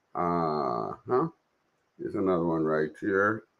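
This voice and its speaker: A man speaks at a moderate pace. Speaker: political commentary livestreamer. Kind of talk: casual livestream commentary. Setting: live stream. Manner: halting, self-correcting.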